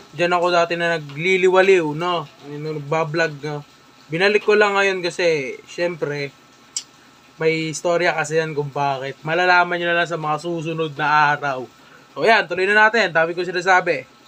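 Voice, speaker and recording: A high-pitched man speaks at a moderate pace with fairly even intonation. There is noticeable background noise. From Philippines, Metro Manila (Caloocan). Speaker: vlogger. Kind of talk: casual reaction commentary. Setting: indoors, moved in from noisy outside.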